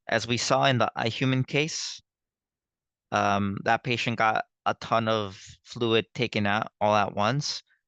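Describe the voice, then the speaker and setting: Recorded dry and close with no echo, a man of medium pitch speaks at a fairly slow pace in a bright, sharp tone, with ordinary pitch variation and very even loudness. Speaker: nursing tutor. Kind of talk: lecture. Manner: halting.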